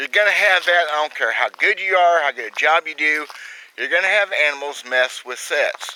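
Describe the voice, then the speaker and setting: There is noticeable background noise as a man speaks in a high voice with ordinary pitch variation. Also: moderate pace, dry, close sound with no echo. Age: 50s. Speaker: trapper and outdoors video host. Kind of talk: casual outdoor vlog tutorial. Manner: folksy, plainspoken.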